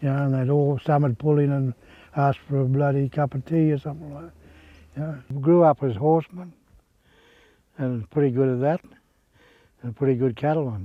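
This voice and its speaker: In a rural Australian accent, a man with a fairly high pitch talks at a fairly quick pace, with fairly even intonation, big swings in loudness, and long, frequent pauses. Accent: broad rural Australian. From Queensland, Australia. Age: 70s. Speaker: retired cattleman and horseman. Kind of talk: oral history storytelling. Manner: halting, repeats words.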